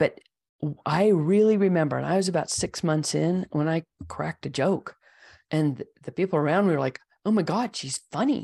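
Against a quiet background, a woman with a normal speaking voice talks at a moderate pace in a fairly low pitch with ordinary pitch variation, in a dry, close sound with no echo. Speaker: branding consultant. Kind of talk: casual interview conversation.

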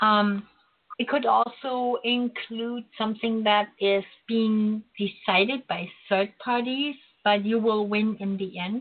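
A woman speaks very slowly in a German accent. Her voice is fairly high, and her intonation is fairly even. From Germany, Berlin. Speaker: psychic radio host. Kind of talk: spiritual teaching talk; psychic reading call-in show. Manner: hesitant, many fillers.

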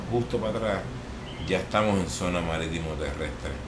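A man speaks fairly quickly in a space with audible room echo and noticeable background noise. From Puerto Rico, Vega Alta. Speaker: skateboarder and artist. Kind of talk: casual interview chat.

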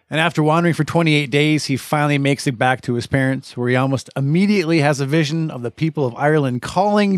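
Recorded very cleanly against a silent background, a man with a fairly high pitch and an ordinary speaking voice talks at a moderate pace with ordinary pitch variation, in a dry, close sound with no echo. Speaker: podcast host. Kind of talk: casual chat. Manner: jokey.

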